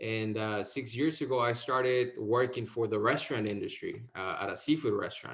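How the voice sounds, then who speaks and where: Talking at a fairly quick pace, a man with a Mexican accent holds a medium pitch. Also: fairly even intonation, hardly any pauses. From Mexico, Veracruz. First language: Spanish. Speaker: insurance sales agent. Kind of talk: interview.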